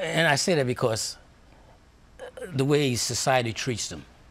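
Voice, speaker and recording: Noticeable background noise and audible room echo surround the recording. A man speaks at a moderate pace and medium pitch with lively intonation. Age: 70s. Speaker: police chaplain. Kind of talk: interview.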